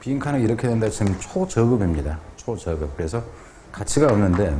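Light background noise sits behind a man with a normal speaking voice and a fairly low pitch. He talks at a fairly quick pace with lively intonation. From South Korea. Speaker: English teacher. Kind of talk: lecture. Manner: casual. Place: studio.

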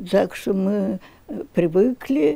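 A woman speaks with a dry sound and no echo. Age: 80s+. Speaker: retired librarian. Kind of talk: interview answer. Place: home room. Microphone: handheld.

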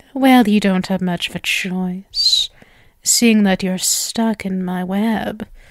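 A quiet woman's put-on character voice at medium pitch and a fairly slow pace. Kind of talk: ASMR roleplay, soft close-mic. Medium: audio drama. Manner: sweet, possessive, teasing, quietly menacing.

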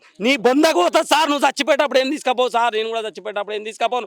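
With a Telangana accent, a man speaks at an extremely high pitch with fairly even intonation, in a dry, close sound with no echo. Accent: Telangana Telugu. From Telangana, Vikarabad district. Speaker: demolition victim, resident. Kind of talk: emotional street interview. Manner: agitated, pleading.

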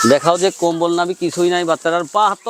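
There is noticeable background noise behind a man whose voice is high in pitch. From Bangladesh, Pabna district. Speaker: cattle farmer and seller. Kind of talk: sales pitch.

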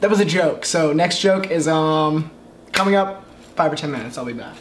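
There is noticeable background noise as a man speaks fairly quickly. His voice is high, with ordinary pitch variation. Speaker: vlogger. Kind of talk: casual vlog chat. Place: kitchen. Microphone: camera far.

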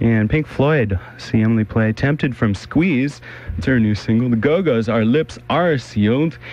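An unremarkable speaking voice from a man, medium pitch, ordinary pitch variation, dry sound with no echo. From Los Angeles, California. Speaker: radio DJ. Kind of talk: radio DJ patter between songs. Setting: radio broadcast. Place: studio. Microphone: old recording.

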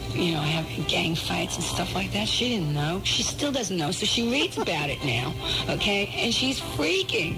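A woman talks at a moderate pace while clear music plays in the background. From New York City. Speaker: rock singer and record producer. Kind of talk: radio interview answer. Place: studio. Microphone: old recording.

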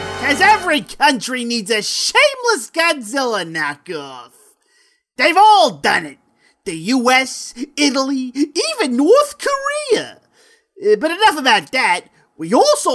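A put-on character voice comes through at a high pitch. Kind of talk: comic overacting, showbiz host patter. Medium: comedy sketch. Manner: brash, upbeat, wisecracking.

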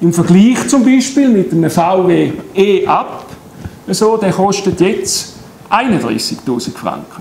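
A man with a Swiss accent speaks very slowly in a high voice with lively intonation, with audible room echo and light background noise. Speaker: solar energy company head. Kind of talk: public lecture. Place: hall. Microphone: camera far.

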